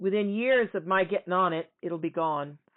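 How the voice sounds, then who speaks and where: Her voice sits at a medium pitch, and this woman's pitch varies in an ordinary way. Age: 60s. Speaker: podcast host. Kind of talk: casual commentary. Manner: halting.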